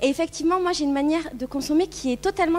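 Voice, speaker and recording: With noticeable background noise behind her, a woman talks at a very fast pace and ordinary pitch variation. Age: 30s. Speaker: YouTuber and blogger on minimalism. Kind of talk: conference talk. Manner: casual, hesitant with many fillers.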